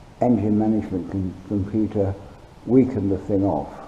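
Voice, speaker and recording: A man speaks at a moderate pace and fairly low pitch, with ordinary pitch variation. Noticeable background noise and audible room echo fill the recording. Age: 70s. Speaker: hobby machinist and welder. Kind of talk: tutorial. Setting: home workshop. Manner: halting, many ums and uhs. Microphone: poor sound quality from cheap camera.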